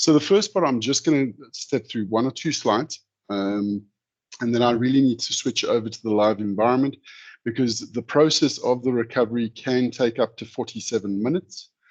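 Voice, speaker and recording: A man's normal speaking voice at a fairly quick pace, with ordinary pitch variation over a quiet background. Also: medium pitch for a man. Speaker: software vendor presenter. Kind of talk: webinar product demo.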